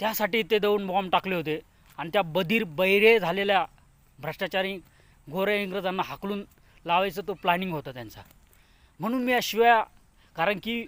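With a high pitch and ordinary variation in it, a man's voice is heard on a very clean recording against a silent background. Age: 30s. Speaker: political activist vlogger. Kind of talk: political speech. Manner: impassioned.

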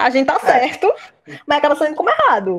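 A woman's voice leaps across very wide pitch swings. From Olinda, Pernambuco, Brazil. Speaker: history teacher and master's student. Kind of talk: podcast discussion, explanatory.

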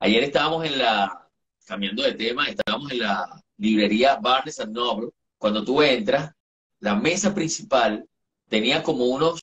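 The pitch of this male speaker swings very widely. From Venezuela, eastern (Sucre state). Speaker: entertainment journalist. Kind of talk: casual chat. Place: home room. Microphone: video call.

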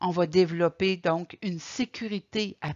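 A woman talks at a very slow pace with ordinary pitch variation. The background is quiet. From Quebec. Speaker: caregiver support coordinator; presenter. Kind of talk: lecture. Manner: halting. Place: home room. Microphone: webcam.

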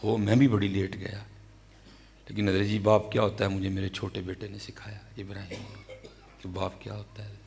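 With a Pakistani Punjabi accent, a man speaks at a fairly low pitch and a moderate pace, his intonation monotone and flat, his loudness swinging widely, and long pauses coming often. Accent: Pakistani Punjabi-accented Urdu. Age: 30s. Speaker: Islamic preacher. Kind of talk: sermon. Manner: emotional. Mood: emotional personal storytelling. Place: hall. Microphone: studio mic.

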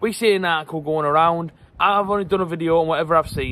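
The speech comes at a very fast pace with fairly even intonation, in a dry sound with no echo and light background noise. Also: man. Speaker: football fan vlogger. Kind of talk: casual vlog chat. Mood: slightly embarrassed, frustrated. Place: garden. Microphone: phone near.

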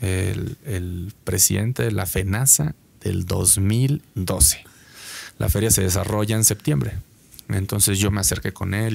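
This man talks at a fairly slow pace in a fairly low voice with ordinary pitch variation. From Mexico. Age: 30s. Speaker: concert promoter; podcast guest. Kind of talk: interview. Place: studio. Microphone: studio mic.

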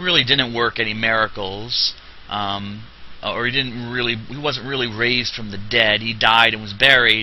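Against noticeable background noise, a man with an American accent and medium pitch talks at a moderate pace with fairly even intonation. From New Jersey. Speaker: religious teacher. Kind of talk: lecture. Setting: classroom. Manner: halting.

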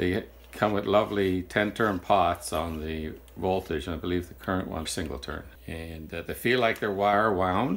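Speaking at a moderate pace, a man has a very deep, low pitch. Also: ordinary pitch variation. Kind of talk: tutorial. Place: workshop.

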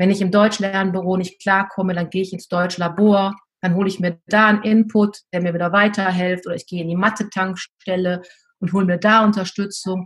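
A woman's delivery is monotone and flat. She moves along at a fairly quick pace. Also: medium pitch for a woman. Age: 50s. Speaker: teacher and deputy school head. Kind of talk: interview.

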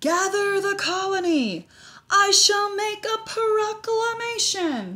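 Someone puts on a character voice with an extremely high pitch and talks at a fairly slow pace. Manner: proclaiming, grand.

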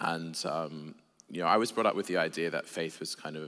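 A fairly quick-paced man's voice, very deep and low in pitch. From Australia (Sydney); Australia. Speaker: theologian and preacher; preacher. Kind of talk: casual chat. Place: church. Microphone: headset.

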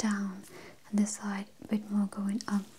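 The voice is soft-spoken at a moderate pace. Light background noise runs underneath. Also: woman. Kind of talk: soft-spoken role-play. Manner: soft-spoken, hushed ASMR voice. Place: home room.

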